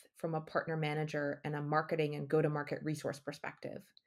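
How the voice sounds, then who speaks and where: With an American accent and an unremarkable speaking voice, a woman talks at a fairly quick pace and fairly low pitch in a very clean recording with a silent background. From United States. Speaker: business development executive. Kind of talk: podcast interview.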